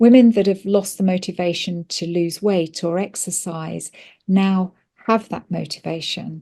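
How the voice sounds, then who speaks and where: In a British accent, a woman with a medium pitch and a dark, mellow tone speaks at a fairly slow pace with fairly even intonation, in a very clean recording with a silent background. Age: 60s. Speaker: pharmacist. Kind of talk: interview. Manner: hesitant, many fillers.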